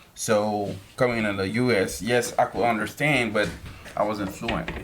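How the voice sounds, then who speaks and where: A man with a Haitian accent speaks at a fairly low pitch and moderate pace with fairly even intonation, with audible room echo and music in the background. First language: Haitian Creole. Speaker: podcast guest. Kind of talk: casual interview.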